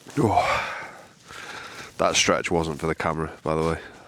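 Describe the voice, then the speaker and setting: Over noticeable background noise, a man with a very deep, low pitch speaks at a fairly slow pace. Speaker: outdoor vlogger. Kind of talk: casual vlog talk to camera. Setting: outdoors at a wild camp in the morning. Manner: speaking quietly.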